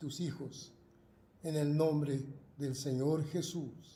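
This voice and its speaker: Speaking at a very slow pace, a man has a fairly high pitch and a monotone, flat intonation. His voice is somewhat breathy, with audible room echo. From Argentina. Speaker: pastor. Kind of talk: prayer. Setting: video broadcast. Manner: halting.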